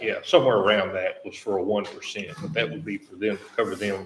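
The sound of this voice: A man talks at a fast pace with fairly low pitch. His intonation stays fairly even.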